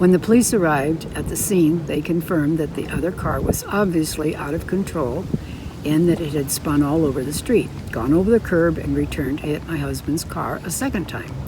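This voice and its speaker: Noticeable background noise runs behind a woman with a very deep, low pitch. She talks at a fairly quick pace with ordinary pitch variation. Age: 90s. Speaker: amateur writer. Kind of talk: reading her own true story aloud.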